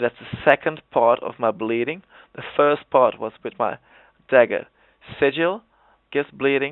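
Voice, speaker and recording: A man with a Dutch accent talks at a fairly slow pace, his pitch varying in an ordinary way. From Netherlands. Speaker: gaming video creator. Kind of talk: tutorial. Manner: halting.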